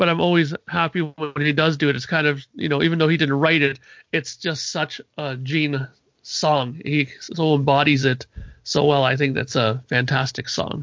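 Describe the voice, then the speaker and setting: A man's voice, an ordinary speaking voice, fairly high in pitch, at a moderate pace with fairly even intonation. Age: 40s. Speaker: podcast panelist and musician. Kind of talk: casual chat.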